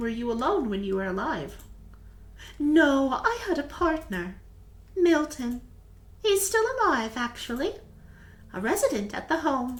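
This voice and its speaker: A woman's put-on character voice at a moderate pace, high-pitched with very wide pitch swings, long, frequent pauses and light background noise. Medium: game stream. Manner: gentle, soft-spoken.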